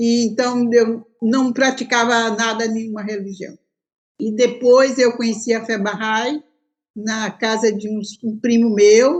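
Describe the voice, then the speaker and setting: A woman's high-pitched voice at a very slow pace. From Brazil, Bahia. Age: 70s. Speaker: religious pioneer. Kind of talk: interview testimony.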